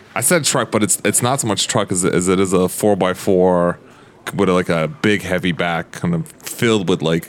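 Over noticeable background noise, the speaker's pitch varies in an ordinary way. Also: man, very even loudness. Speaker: tabletop roleplay player. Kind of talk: tabletop roleplay, casual chat. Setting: around a table in person.

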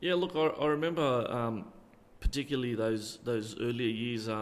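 This man speaks at a fairly slow pace and a medium pitch. Audible room echo surrounds his voice. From Australia, Illawarra region (NSW). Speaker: retired football referee. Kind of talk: interview. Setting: community hall.

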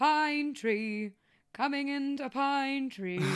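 A woman's high, put-on character voice at a very slow pace. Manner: announcing, drawn-out.

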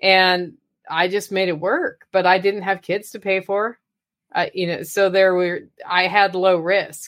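At a fairly slow pace, a woman with an American accent talks at a medium pitch in a monotone, flat intonation. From Oregon. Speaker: podcaster and motivational speaker. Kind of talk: casual interview.

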